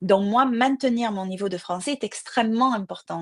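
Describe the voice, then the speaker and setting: The sound is dry and close with no echo as a woman speaks at a moderate pace with ordinary pitch variation. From southern France, Marseille. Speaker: crime novelist. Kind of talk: interview. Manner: hesitant with fillers.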